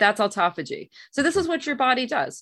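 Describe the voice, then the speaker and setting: Very wide pitch swings mark this woman's fairly quick delivery. The recording is very clean, with a silent background. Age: 50s. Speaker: physician. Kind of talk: interview.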